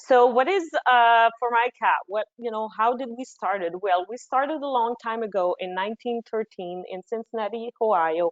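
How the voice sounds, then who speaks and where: A woman with a Quebec accent speaks at a moderate pace with hardly any pauses, fairly high pitch and ordinary pitch variation. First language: French. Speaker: marketing manager. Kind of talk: webinar presentation.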